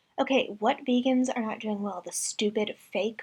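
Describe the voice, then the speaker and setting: Fairly slow delivery in an ordinary speaking voice, the pitch varying in an ordinary way. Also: woman. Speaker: vegan reaction commentator. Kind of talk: reaction commentary.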